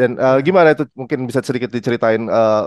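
Over a quiet background, a man talks at a very fast pace with a dry sound and no echo. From Indonesia. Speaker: music journalist and show host; music journalist, show host. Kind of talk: interview. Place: home room. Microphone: headset.

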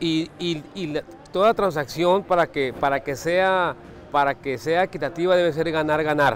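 Here is a man with a fairly high pitch and ordinary pitch variation. He talks at a moderate pace.

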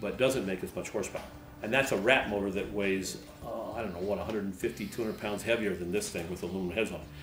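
A man's voice with clear music in the background. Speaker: host. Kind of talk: tutorial. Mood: enthusiastic, relaxed. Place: garage.

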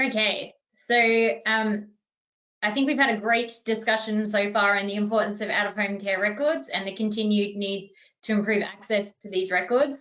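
Her fairly high pitch holds a fairly even intonation as the woman speaks at a moderate pace. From Australia. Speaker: archivist and webinar moderator; webinar moderator. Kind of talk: webinar panel discussion. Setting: video call. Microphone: video call.

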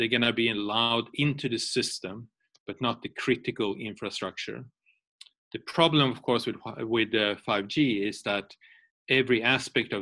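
This man talks at a moderate pace with a bright, sharp tone and fairly even intonation. The background is quiet. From Sweden. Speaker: security policy expert; guest. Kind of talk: webinar lecture. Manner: halting. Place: home room. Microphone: webcam.

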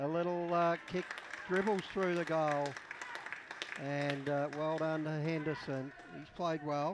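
Crowd noise sits behind a man at a fairly high pitch, speaking at a fairly slow pace in a relaxed tone. His intonation is monotone and flat, and he pauses long and often. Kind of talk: live sports commentary. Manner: relaxed, conversational analyst, more halting.

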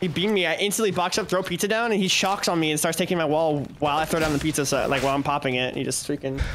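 With faint music behind him, a man speaks at a very fast pace with hardly any pauses and very even loudness. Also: ordinary pitch variation. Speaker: gaming streamer. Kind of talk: casual chat while gaming. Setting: live stream. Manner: animated. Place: home room. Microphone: studio mic.

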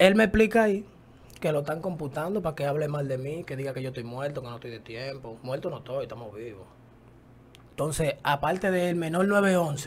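A man with a Dominican accent and a fairly high pitch talks at a fairly quick pace, his tone animated, his intonation lively and his voice somewhat breathy. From Dominican Republic. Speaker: rapper; interview guest. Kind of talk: casual interview. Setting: studio. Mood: confrontational, defiant. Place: studio. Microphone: studio mic.

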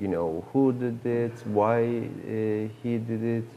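Over light background noise, a man with a Turkish accent speaks in a dark, mellow tone. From Turkey. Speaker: film director. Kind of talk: interview. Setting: film festival. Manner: halting. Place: hall. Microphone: lapel.

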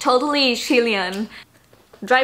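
This woman's voice sits fairly high in pitch. She speaks at a fairly slow pace. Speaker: travel vlogger. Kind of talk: casual vlog chat. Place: home room.

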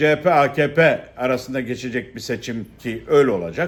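A man talking at a fairly slow pace. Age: 60s. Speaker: political commentator, former politician. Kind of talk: monologue commentary. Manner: halting, many fillers.

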